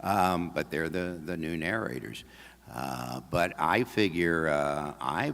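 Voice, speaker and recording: This man's voice carries vocal fry. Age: 70s. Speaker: audiobook narrator. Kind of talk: talk at a convention, then Q&A. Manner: halting, many fillers and restarts.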